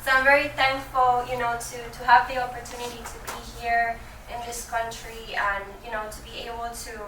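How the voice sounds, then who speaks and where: Amid noticeable background noise and audible room echo, a woman with a Spanish accent speaks at a fairly quick pace and high pitch in a monotone, flat intonation. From Venezuela. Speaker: business banker. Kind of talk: presentation to business owners. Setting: room with live audience. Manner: hesitant, many fillers.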